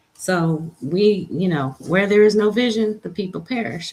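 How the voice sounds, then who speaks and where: Somewhat breathy and medium in pitch, a woman speaks fairly slowly with lively intonation. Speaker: livestream host. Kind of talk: inspirational livestream talk. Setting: live stream.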